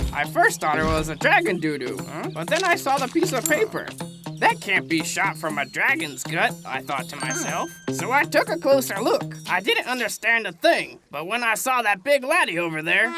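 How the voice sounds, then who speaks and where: A cartoonish character voice, female-sounding and at a middle pitch, speaks at a moderate pace. Clear music plays in the background. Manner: wily, chuckling.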